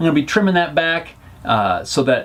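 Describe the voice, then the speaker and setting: A man's high voice at a fairly quick pace. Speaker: DIY workshop vlogger. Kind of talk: casual vlog shop update. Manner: fast.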